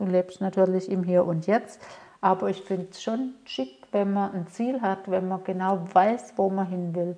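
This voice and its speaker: A woman's ordinary speaking voice at medium pitch, fairly slow pace, and fairly even intonation. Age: 50s. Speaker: mentor and coach for women. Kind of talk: solo podcast monologue.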